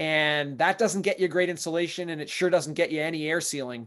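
Moderate pace and fairly even intonation from a man, against a quiet background. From Maine, US. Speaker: real estate investor and property manager; podcast guest. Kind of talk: podcast interview. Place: home room. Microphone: webcam.

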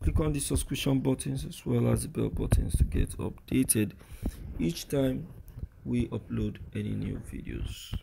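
A man speaks with a Nigerian accent. His pace is moderate. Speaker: news commentary vlogger. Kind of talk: outro call to action; news commentary monologue.

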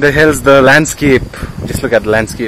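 Noticeable background noise sits behind a man's voice. The sound has no echo and is dry. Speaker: travel vlogger. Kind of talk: casual vlog chat. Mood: excited, admiring the view. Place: open country. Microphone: phone near.

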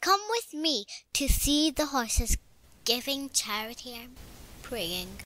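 A female-sounding voice, high-pitched, delivers a put-on character voice. The pace is fairly slow, broken by long, frequent pauses. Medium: read story. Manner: warm, gentle.

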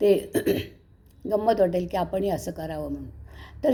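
Her voice is medium in pitch with a dark, mellow tone as this woman speaks. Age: 70s. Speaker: vlogger. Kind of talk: casual chat.

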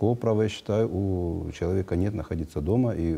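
A man speaks with a very deep, low pitch and a dark, mellow tone. His voice is somewhat breathy, with fairly even intonation. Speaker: public health agency head. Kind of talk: live TV call-in Q&A. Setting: TV studio. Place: studio.

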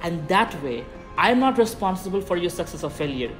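Clear music plays behind the speech. A man talks at a moderate pace. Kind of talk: talking-head advice vlog. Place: garden.

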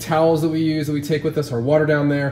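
A man speaks over light background noise, and the room echo is audible. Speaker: overlanding vlogger. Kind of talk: casual vlog chat. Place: garage. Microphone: camera far.

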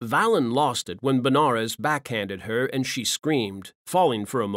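Someone reads a passage out loud. The delivery is a natural reading voice.

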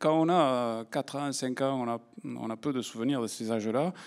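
The background is quiet as a man talks with an Occitan accent. He goes at a very slow pace with ordinary pitch variation. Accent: southern French (Occitan). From southern France, Aude. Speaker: science journalist and magazine editor. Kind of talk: lecture to an audience. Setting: stage with audience. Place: stage. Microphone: handheld.

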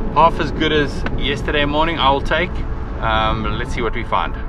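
With music in the background, the speaker goes at a moderate pace. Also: man. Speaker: travel vlogger. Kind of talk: casual vlog chat. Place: car. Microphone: phone near.

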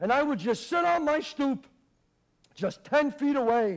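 With music playing in the background, a man with an American accent speaks with very wide pitch swings. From Bronx, New York. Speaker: actor. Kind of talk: theatrical monologue. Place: stage.

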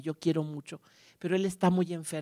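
With a Mexican accent, a man speaks at a high pitch with fairly even intonation against a quiet background. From Mexico. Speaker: archive director and music scholar; conference speaker. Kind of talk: lecture. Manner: halting; warm. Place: stage. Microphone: handheld.

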